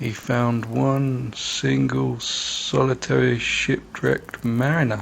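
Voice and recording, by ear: The speaker is reading aloud in a natural voice. Nothing else stands out.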